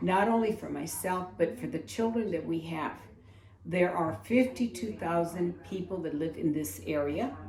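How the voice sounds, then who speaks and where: Very wide pitch swings mark this woman's voice. Audible room echo and noticeable background noise are present. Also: fairly low pitch for a woman, moderate pace. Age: 70s. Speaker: community advocate. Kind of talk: public testimony speech.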